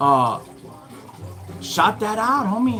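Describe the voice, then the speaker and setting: With an American accent, a man talks in an animated tone against noticeable background noise. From Southern California (Norwalk, Los Angeles County). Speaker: livestreamer. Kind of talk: casual livestream talk to chat viewers. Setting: live stream.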